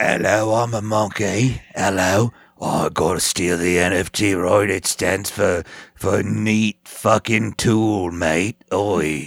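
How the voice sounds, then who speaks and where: A man puts on a raspy character voice, fairly low in pitch, speaking at a very slow pace. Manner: cheeky.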